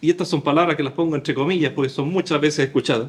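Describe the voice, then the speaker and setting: This man's voice sits at a fairly high pitch and carries vocal fry. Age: 60s. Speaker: pastor. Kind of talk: sermon.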